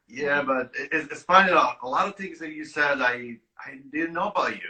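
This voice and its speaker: A man with an Italian accent speaks with big swings in loudness. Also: moderate pace. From Italy. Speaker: winemaker. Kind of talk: casual chat. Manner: halting.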